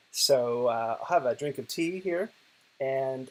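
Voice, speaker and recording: This is a man speaking with an Oklahoma accent. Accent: American (Oklahoma). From US, Oklahoma. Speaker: digital poet and professor. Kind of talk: recorded conference presentation. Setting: lying in bed, video recording.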